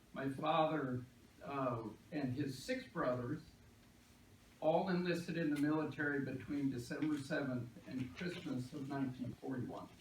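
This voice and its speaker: Someone with an American accent talks at a moderate pace with fairly even intonation and long, frequent pauses, with audible room echo. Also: man, fairly high pitch for a man. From Texas. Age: 60s. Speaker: political candidate. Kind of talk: candidate forum speech. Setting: public library meeting with audience and microphone.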